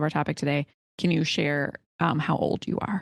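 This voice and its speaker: Vocal fry from a woman over a quiet background. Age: 40s. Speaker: podcast host. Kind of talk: podcast interview.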